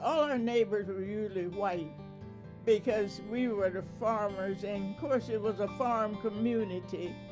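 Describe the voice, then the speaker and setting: With music in the background, a woman with an American accent speaks at a fairly slow pace in a medium pitch and ordinary pitch variation. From rural Delaware, USA. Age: 80s+. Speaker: oral history interviewee. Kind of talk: interview answer.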